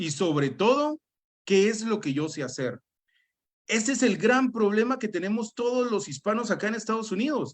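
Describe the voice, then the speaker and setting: This man has a high pitch and lively intonation. He talks at a moderate pace. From Guatemala. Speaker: business and life coach. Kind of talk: motivational talk.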